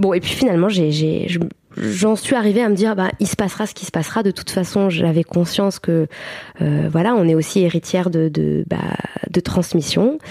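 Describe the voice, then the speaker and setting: With noticeable background noise behind her, a woman keeps a moderate pace and ordinary pitch variation. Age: 30s. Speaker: mother and birth-support practitioner. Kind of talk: interview testimony. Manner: halting, many fillers.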